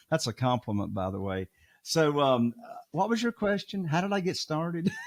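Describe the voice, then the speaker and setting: In a Southern US accent, a man talks at a moderate pace with a fairly high pitch and very wide pitch swings, the sound dry and close with no echo. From US South. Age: 60s. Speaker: real estate investor. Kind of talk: podcast interview. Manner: animated.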